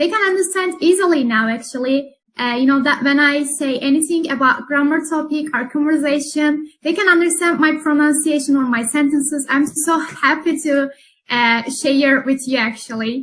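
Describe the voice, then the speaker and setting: Speaking with a Turkish accent, a woman uses a high pitch and ordinary pitch variation at a moderate pace with hardly any pauses. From Turkey. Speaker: English teacher. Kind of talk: interview.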